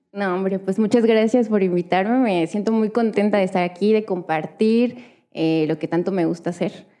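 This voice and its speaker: At a moderate pace, a woman speaks in a dark, mellow tone. Her pitch is medium, with ordinary variation. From Hidalgo, central Mexico. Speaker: visual artist. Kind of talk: casual interview.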